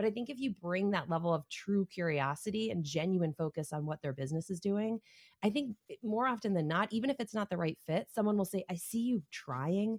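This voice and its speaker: In an animated tone with lively intonation, a somewhat breathy woman talks at a fairly quick pace, the sound dry and close with no echo. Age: 40s. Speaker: sales community lead, former salesperson. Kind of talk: interview.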